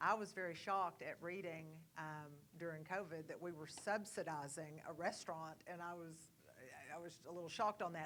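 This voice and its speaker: Speaking at a fairly quick pace, a woman keeps a fairly low pitch and fairly even intonation. Her loudness swings widely. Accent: East Texas. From East Texas, Kilgore. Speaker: board candidate. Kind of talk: candidate forum answer.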